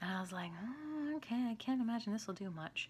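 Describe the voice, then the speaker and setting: Quiet and somewhat breathy, a woman's voice moves through very wide pitch swings. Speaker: skincare vlogger. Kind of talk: product review. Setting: home, at night. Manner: quiet, hushed; casual, filler-heavy.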